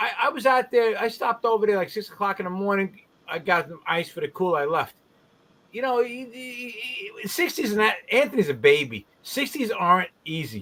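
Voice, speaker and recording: Against noticeable background noise, a man with a high pitch projects his raised voice at a moderate pace, with lively intonation and big swings in loudness. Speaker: garage cleaning business owner and industry trainer. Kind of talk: casual chat. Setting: live stream video call.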